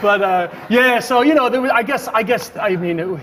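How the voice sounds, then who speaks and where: A man talks at a very fast pace with an American accent, noticeable background noise behind him. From New York, Queens. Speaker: comedian. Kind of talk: talk show interview.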